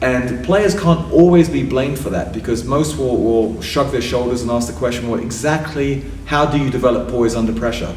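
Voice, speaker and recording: With an English accent, a man talks at a moderate pace and medium pitch, his intonation lively, amid noticeable background noise and audible room echo. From England. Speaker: sports psychologist. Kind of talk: interview.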